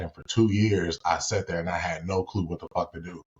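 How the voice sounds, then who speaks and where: Slightly breathy, a man with a very deep, low voice and an American accent talks at a fairly quick pace. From Gary, Indiana, US Midwest. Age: 30s. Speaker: former pro football player, credit repair specialist. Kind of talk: casual podcast interview. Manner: animated.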